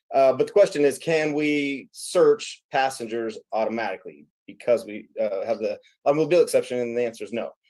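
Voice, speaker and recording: On a very clean recording with a silent background, a man with a slight Midwestern accent talks at a fairly quick pace with big swings in loudness. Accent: slight Midwestern twang picked up this week. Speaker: legal or law enforcement instructor. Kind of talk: legal discussion. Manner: hesitant, many fillers.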